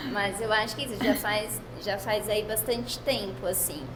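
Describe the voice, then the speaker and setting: Audible room echo and noticeable background noise accompany a woman speaking at a moderate pace. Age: 30s. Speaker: daughter of bakery owner, sharing health story. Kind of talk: testimony.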